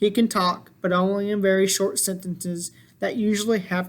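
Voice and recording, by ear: Intonation stays fairly even as the speaker is reading aloud in a natural voice.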